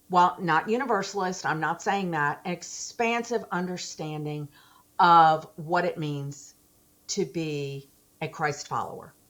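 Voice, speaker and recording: A woman talks fairly slowly in a normal speaking voice with a fairly low pitch and ordinary pitch variation. The recording is very clean, with a silent background. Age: 60s. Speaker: attorney, theologian, and teacher. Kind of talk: interview answer.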